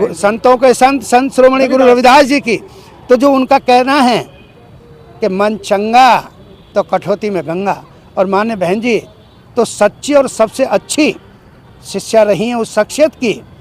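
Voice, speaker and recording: A man's extremely high-pitched voice with long, frequent pauses. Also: ordinary pitch variation. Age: 70s. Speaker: party worker being interviewed. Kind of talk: interview. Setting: room with seated audience.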